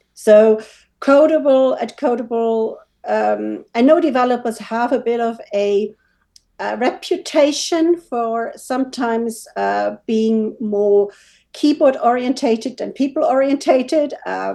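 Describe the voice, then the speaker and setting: Her voice is high-pitched with a dark, mellow tone and ordinary pitch variation. A woman with a German accent, she talks at a fairly slow pace. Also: quiet background. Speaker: WooCommerce developer. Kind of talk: interview.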